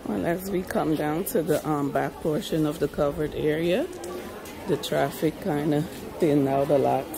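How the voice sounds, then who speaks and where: A woman's very deep, low voice with clear music in the background. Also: ordinary pitch variation, moderate pace. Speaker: vlogger filming a walk. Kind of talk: casual vlog chat. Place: market. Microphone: phone near.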